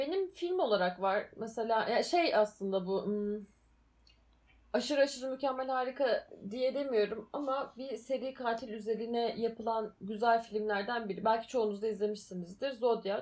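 The woman uses a normal speaking voice, fairly high-pitched with ordinary pitch variation, at a moderate pace. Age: 20s. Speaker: podcast co-host. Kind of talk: casual chat.

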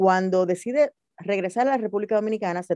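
Her voice has a dark, mellow tone and ordinary pitch variation, moving at a fairly quick pace. The sound is dry and close, with no echo. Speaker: radio host and producer. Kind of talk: interview.

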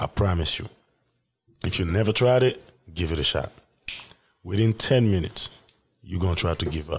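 Somewhat breathy and very deep in pitch, a man with a West African accent speaks with long, frequent pauses. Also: ordinary pitch variation, moderate pace. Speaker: solo podcaster. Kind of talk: casual solo monologue. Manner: casual, profane, laid-back.

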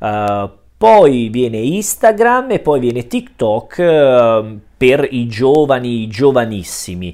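Speaking very slowly, a man uses lively intonation at a medium pitch. The recording is very clean, with a silent background. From Italy. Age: 30s. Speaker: Italian language teacher. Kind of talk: monologue explanation for learners. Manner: hesitant, many fillers.

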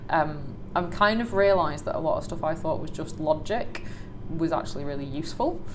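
In a room with audible echo and noticeable background noise, a woman speaks at a fairly quick pace with a fairly low pitch. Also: ordinary pitch variation. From northern England, Salford. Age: 20s. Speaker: operations manager. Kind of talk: interview conversation.

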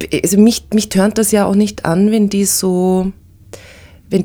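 In a dark, mellow tone, a woman speaks at a medium pitch. Her pace is very slow and her intonation is a flat monotone. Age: 40s. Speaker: podcast host. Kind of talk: interview.

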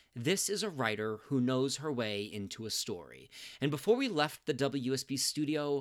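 A man with a plain, everyday voice at medium pitch and moderate pace, in a very clean recording with a silent background. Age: 40s. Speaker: podcast host. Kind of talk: scripted narration.

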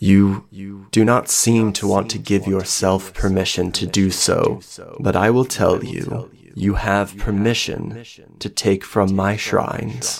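A man uses a put-on character voice, fairly low in pitch with vocal fry. He speaks at a slow pace with fairly even intonation and few pauses.

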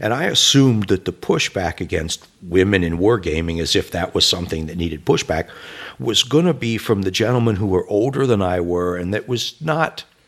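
A normal speaking voice from a man, fairly low in pitch, with lively intonation at a fairly quick pace. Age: 50s. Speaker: wargaming YouTube channel creator. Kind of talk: casual interview conversation.

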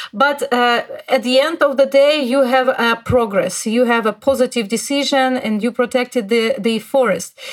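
A woman's high voice at a moderate pace with fairly even intonation, over noticeable background noise. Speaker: podcast host. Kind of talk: interview.

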